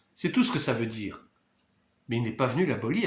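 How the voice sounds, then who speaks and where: A man is speaking. There is audible echo in the room. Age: 60s. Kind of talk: video monologue, sermon-like commentary.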